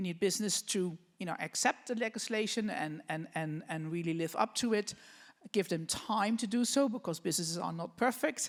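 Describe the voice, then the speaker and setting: On a very clean recording with a silent background, a woman with a Dutch accent talks at a fairly quick pace and medium pitch, with lively intonation. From Netherlands. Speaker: business association president. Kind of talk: panel discussion. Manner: halting.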